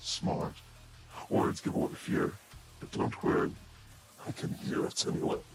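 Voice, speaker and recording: A man's raspy, put-on character voice with a calm, sinister tone, at a moderate pace with long, frequent pauses, over loud background noise. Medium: voice reel. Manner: taunting, calm, sinister.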